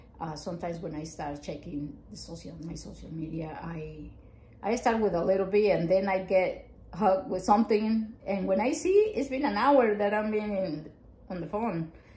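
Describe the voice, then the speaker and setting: Her intonation is lively and her loudness swings widely. The woman keeps a moderate pace. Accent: strong Mexican. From Mexico. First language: Spanish. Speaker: family counselor. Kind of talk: casual chat. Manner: halting. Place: home room.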